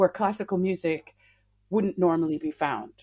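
A woman speaks with an American accent. Her pitch sits fairly low for a woman. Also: very clean recording, silent background. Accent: American, slight twang. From Massachusetts, US. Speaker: classical singer. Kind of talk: interview.

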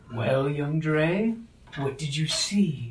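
A man's put-on character voice at a fairly high pitch. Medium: actual play. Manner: stern, reproving.

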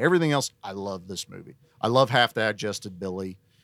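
Recorded with a dry, close sound and no echo, a man with a Southern US accent talks at a fairly quick pace in a fairly low pitch. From US South. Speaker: podcast guest. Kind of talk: casual chat.

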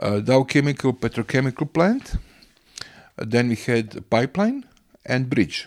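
With a Croatian accent, a man talks at a moderate pace and medium pitch. He leaves long, frequent pauses. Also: ordinary pitch variation. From Croatia, Rijeka and island of Krk. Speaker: local environmental campaigner and businessman. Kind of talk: interview. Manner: halting.

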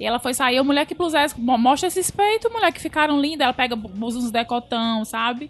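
Speaking fairly quickly, a woman uses a high pitch. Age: 30s. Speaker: podcast host. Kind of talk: casual chat.

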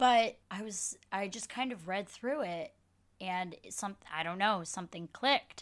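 An ordinary speaking voice with an American accent moves at a fairly slow pace. Its pitch variation is ordinary. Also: woman, medium pitch for a woman. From Michigan, US Midwest (Dearborn). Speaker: actor and drag performer. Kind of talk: casual chat.

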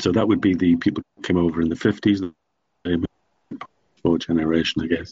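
A man with an Irish accent speaks at a fairly quick pace, his very deep, low voice monotone and flat, with long, frequent pauses. The sound is dry and close, with no echo. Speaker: charity founder. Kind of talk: interview.

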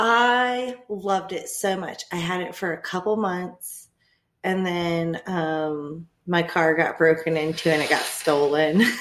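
Her pitch fairly low, a woman talks at a very slow pace with ordinary pitch variation. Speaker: podcast co-host. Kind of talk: casual chat.

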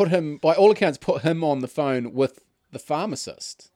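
With a New Zealand accent, a man speaks at a fairly slow pace and a fairly high pitch with ordinary pitch variation, in a dry, close sound with no echo. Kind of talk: casual banter podcast chat.

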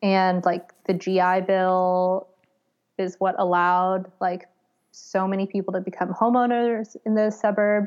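Monotone, flat speech in an American accent at a fairly slow pace against a quiet background. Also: woman, medium pitch for a woman. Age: 30s. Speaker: curator and academic. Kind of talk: casual interview.

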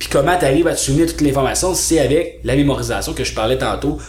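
Music plays in the background, and audible room echo surrounds the voice. A man speaks in an animated tone with a Quebec accent. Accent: Québécois French. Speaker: speed reading trainer. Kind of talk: casual interview.

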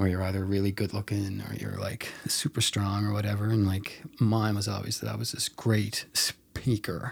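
This man's voice sits at a fairly low pitch and is somewhat breathy, delivered in a monotone, flat intonation at a moderate pace with hardly any pauses. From Mount Pearl, Newfoundland, Canada. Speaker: filmmaker. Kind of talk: casual chat. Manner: halting.

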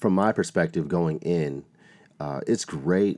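Speaking at a fairly quick pace, a man with a very deep, low voice shows vocal fry and ordinary pitch variation. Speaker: school speaker and performer. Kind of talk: interview.

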